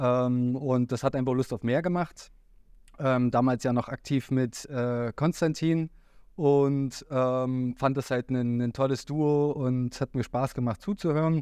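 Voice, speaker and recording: At a very slow pace, a man with a medium pitch and a dark, mellow tone speaks with fairly even intonation and very even loudness, the sound dry with no echo against a quiet background. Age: 30s. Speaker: trader and academy team member; podcast guest. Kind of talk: casual interview. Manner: hesitant, many fillers. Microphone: video call.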